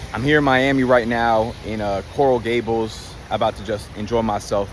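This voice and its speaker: Noticeable background noise sits behind the voice. The man talks with ordinary pitch variation. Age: 20s. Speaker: online business coach. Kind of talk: casual vlog monologue. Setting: on location in Miami. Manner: animated.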